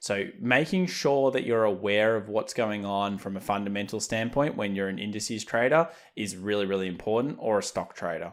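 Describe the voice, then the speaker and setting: Over a silent background in a very clean recording, a man with an Australian accent speaks at a fairly low pitch and a fairly quick pace, with ordinary pitch variation and hardly any pauses. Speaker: trading educator. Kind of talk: market analysis commentary.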